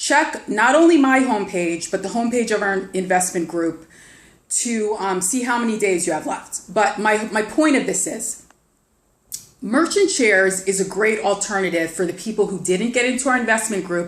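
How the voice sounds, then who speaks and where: Her medium-pitched voice moves with lively intonation. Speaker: online investment promoter. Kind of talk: casual vlog sales pitch. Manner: fast; animated, halting with repetitions.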